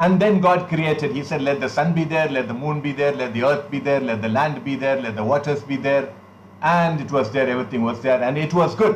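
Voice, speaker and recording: Audible room echo accompanies a man with a fairly high pitch. He speaks at a fairly quick pace with ordinary pitch variation. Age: 60s. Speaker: pastor. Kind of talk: sermon.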